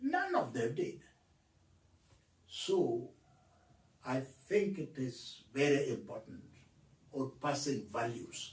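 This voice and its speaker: Talking at a very slow pace, the man leaves long, frequent pauses. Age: 80s+. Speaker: author. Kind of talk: interview.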